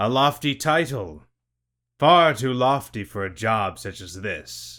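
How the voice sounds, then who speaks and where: A man's put-on character voice, medium in pitch and at a fairly slow pace. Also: very clean recording, silent background. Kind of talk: archaic formal speech. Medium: read story. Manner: gruff, formal.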